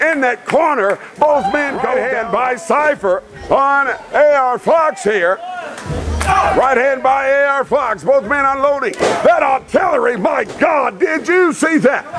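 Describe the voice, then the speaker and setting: Amid crowd noise in the background, a man shouts in an animated tone at an extremely high pitch, at a fairly slow pace. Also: lively intonation. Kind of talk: wrestling commentary. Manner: animated, building to a shout at the finish.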